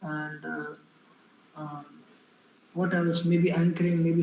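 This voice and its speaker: Speaking with an Indian accent, a man uses a high pitch and monotone, flat intonation at a fairly slow pace. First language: Hindi. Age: young. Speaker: public speaking coach and exam mentor. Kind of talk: online workshop talk. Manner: hesitant, many fillers.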